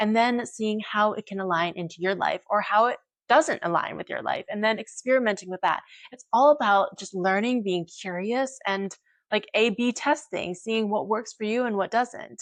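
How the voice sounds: A woman at medium pitch, moderate pace, and ordinary pitch variation.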